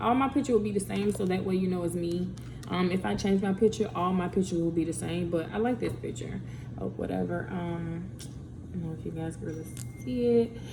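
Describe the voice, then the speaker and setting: At a fairly quick pace, a woman talks with audible room echo around her. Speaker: podcaster and YouTuber. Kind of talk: casual vlog talk.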